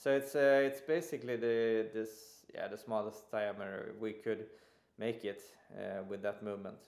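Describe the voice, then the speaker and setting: A man's medium-pitched voice in a Swedish accent. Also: ordinary pitch variation, moderate pace. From Sweden. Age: 40s. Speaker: watch brand co-founder, industrial designer. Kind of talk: interview.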